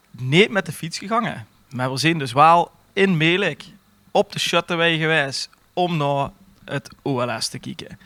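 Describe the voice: A man's fairly high, bright, sharp voice at a fairly slow pace with lively intonation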